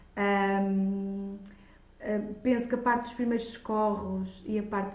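Room echo can be heard on this clip. The delivery is very slow. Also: woman. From Lisbon, Portugal. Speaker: childminder and early childhood educator. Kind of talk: podcast interview.

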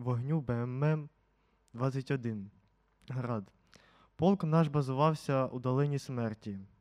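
The recording is very clean, with a silent background. A man's voice sits at a medium pitch and shows ordinary pitch variation. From central Ukraine, Poltava region. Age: 50s. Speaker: war veteran. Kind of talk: testimony.

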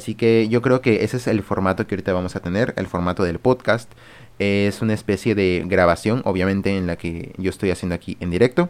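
Fairly even intonation accompanies speech that moves along at a fairly quick pace. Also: man, fairly low pitch for a man. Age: young. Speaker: streamer and podcast host. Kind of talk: personal monologue podcast. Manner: hesitant, many fillers.

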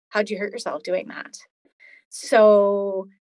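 A woman with a medium pitch has an ordinary speaking voice. Her pace is fairly slow. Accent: Canadian. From Alberta, Canada. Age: 40s. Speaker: chronic illness patient, former paramedic. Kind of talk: interview, personal story.

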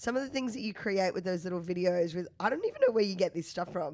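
With an Australian accent, a woman talks using lively intonation. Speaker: podcast host. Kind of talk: casual interview chat.

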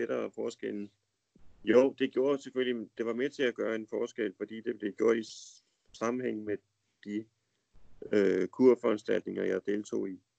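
A man talks at a fairly slow pace and medium pitch, with fairly even intonation. The recording is dry and close, with no echo. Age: 50s. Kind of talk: casual conversation. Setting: Skype call. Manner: hesitant, many fillers.

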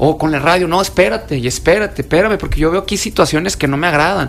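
Talking at a very fast pace, a man speaks at a fairly high pitch. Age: 40s. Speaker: security specialist and self-defense instructor. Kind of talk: radio interview. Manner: casual, colloquial.

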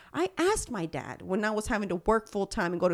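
A woman's fairly high voice with a dark, mellow tone, at a moderate pace, on a very clean recording with a silent background. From Houston, Texas. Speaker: podcast guest. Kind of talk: casual political chat.

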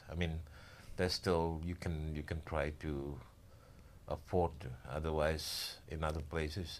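Speaking with an Indonesian accent, a man with a very deep, low pitch keeps a monotone, flat intonation and takes long, frequent pauses. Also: fairly slow pace. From Indonesia, Java. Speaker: building contractor. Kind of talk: casual interview.

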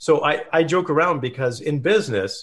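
The man has a Canadian accent and sounds somewhat breathy. His pitch variation is ordinary. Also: quiet background. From Canada, small town in British Columbia. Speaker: entrepreneur and performance coach. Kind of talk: interview.

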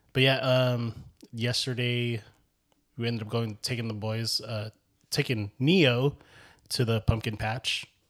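With long, frequent pauses, a man speaks at a medium pitch and with fairly even intonation. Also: fairly slow pace. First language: Ilocano. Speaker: podcast co-host. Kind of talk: casual chat.

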